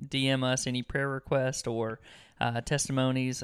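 A man's normal speaking voice at medium pitch and moderate pace. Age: 30s. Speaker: podcast co-host. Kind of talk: casual chat.

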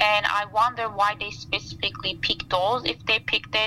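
A woman speaks with a Turkish accent over music playing in the background. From Turkey, Istanbul. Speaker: plant scientist. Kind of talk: interview. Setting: outdoors by a campfire.

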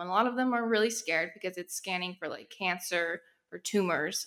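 With an American accent, a woman speaks at a very fast pace. Her tone is bright and sharp, with ordinary pitch variation. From Texas. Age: 20s. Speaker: podcast co-host, medical imaging aide. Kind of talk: casual chat.

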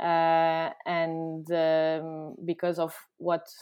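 A woman speaks with a Portuguese accent and a fairly low pitch. The recording is very clean, with a silent background. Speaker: company founder. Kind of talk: casual interview. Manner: halting.

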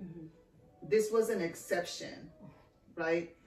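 With an American accent and fairly even intonation, a woman speaks at a fairly low pitch amid audible room echo. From Texas. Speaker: podcast host. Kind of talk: casual chat.

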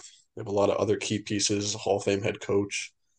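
Against a quiet background, a man speaks at a moderate pace and fairly low pitch. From Long Island, New York. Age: 20s. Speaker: podcast co-host. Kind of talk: casual chat.

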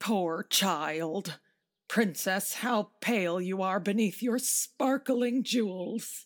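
A woman at a medium pitch, very slow and very even in loudness, with ordinary pitch variation, on a very clean recording with a silent background. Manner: motherly, pitying, then resolute.

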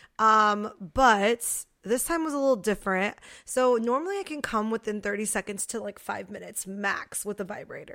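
Speaking with an American accent, a woman uses a fairly high pitch. Her tone is animated, bright and sharp. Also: ordinary pitch variation, moderate pace, very clean recording, silent background. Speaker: podcast co-host. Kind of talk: casual chat. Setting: studio. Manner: loud.

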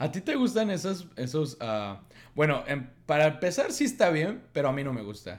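A man at a fairly high pitch shows vocal fry and very wide pitch swings. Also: moderate pace. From Mexico. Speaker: podcast co-host. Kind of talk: casual chat.

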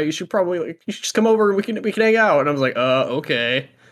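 With an American accent, a man speaks very fast with very wide pitch swings, recorded very cleanly against a silent background. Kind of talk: casual chat. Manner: casual, filler-heavy.

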